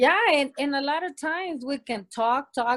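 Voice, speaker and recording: Recorded very cleanly with a silent background and a dry, close sound with no echo, a woman speaks at a fairly slow pace with lively intonation. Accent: Spanish. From Mexico, Sonora. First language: Spanish. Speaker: interview guest. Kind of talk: casual interview conversation.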